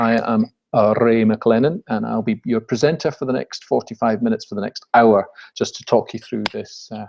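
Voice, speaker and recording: This man talks at a moderate pace with a Scottish accent, his medium pitch showing ordinary variation in a dry, close sound with no echo. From Scotland. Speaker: business webinar presenter. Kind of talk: webinar presentation. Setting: live online webinar.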